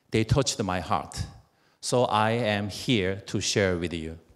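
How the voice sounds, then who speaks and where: Over a quiet background, a speaker with a Korean accent talks at a very slow pace with lively intonation. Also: man. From South Korea. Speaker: network marketing distributor. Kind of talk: motivational speech. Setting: stage with audience. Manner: halting. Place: hall. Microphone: handheld.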